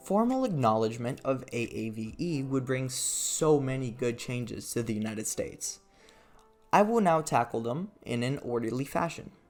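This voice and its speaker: With music in the background, the speaker talks at a moderate pace with ordinary pitch variation. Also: man, medium pitch for a man. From Brazil. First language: Brazilian Portuguese. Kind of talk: video essay narration over gameplay. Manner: casual, sardonic.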